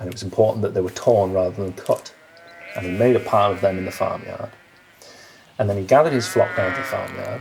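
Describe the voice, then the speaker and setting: A man speaks at a very fast pace but with long, frequent pauses. Noticeable background noise is present. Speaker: local storyteller. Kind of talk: folk tale storytelling. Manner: casual, conversational, with hesitations.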